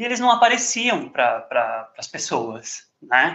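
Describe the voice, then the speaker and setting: A man's voice with very wide pitch swings. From São Paulo, Brazil. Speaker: podcast host. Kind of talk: casual chat.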